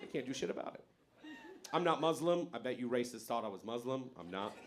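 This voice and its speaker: Audible room echo surrounds a man speaking at a medium pitch and a very fast pace. His intonation is lively, with big swings in loudness. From born in Iran, grew up in America from age eight. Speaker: stand-up comedian. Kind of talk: stand-up. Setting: stage with audience.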